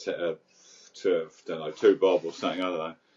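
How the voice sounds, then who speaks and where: The speaker is a man. He has a London accent. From London, England (Crouch End, north London). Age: 60s. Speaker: recovering addict sharing his story. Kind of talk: casual interview, personal story. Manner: halting, many repeated words and fillers.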